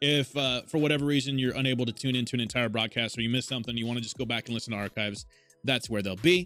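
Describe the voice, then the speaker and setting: Music plays in the background as a man talks at a very fast pace, his medium pitch showing ordinary variation. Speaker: podcast host and streamer. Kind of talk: casual chat on a live stream. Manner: animated.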